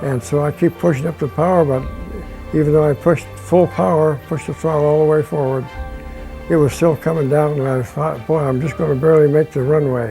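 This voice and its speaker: With music in the background, a man talks at a fairly quick pace in a fairly high pitch. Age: 80s+. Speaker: retired aircraft engine mechanic. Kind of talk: interview answer, personal reminiscence.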